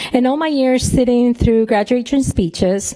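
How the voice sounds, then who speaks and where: Someone with a Spanish accent speaks with ordinary pitch variation over noticeable background noise. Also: woman. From northern Mexico, raised in New Mexico. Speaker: professor. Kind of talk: commencement speech. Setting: ballroom ceremony with audience.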